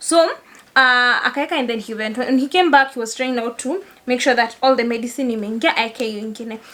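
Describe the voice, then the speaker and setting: Soft-spoken, with a Kenyan accent and a bright, sharp tone. The pace is fairly quick, with ordinary pitch variation. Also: woman, high pitch for a woman. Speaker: lawyer and content creator. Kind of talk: casual vlog talk. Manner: not loud, laid back.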